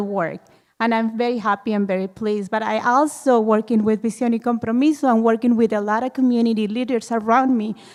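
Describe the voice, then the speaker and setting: A woman talks fairly quickly with a Mexican accent and fairly even intonation. Her pitch is fairly high, on a very clean recording with a silent background. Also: hardly any pauses. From Mexico, Ciudad Juarez. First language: Spanish. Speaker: audience member, community health worker. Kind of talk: public Q&A comment.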